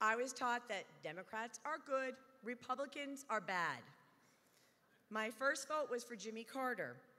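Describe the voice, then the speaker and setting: At a moderate pace, a woman speaks in a high pitch with a bright, sharp tone and ordinary pitch variation. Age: 60s. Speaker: retired federal employee, political speaker. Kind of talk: prepared speech.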